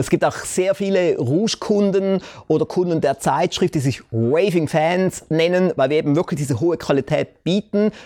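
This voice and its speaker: Recorded very cleanly against a silent background, with a dry, close sound and no echo, a man speaks at a high pitch and moderate pace with ordinary pitch variation and very even loudness. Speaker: talk show host and entrepreneur. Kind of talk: sales pitch; interview.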